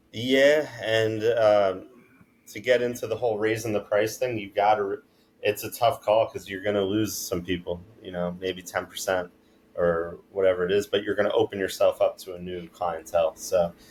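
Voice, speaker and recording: A man with a slight East Coast accent talks at a fairly low pitch with fairly even intonation. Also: moderate pace. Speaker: detailing business owner. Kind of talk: podcast interview. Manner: monotone.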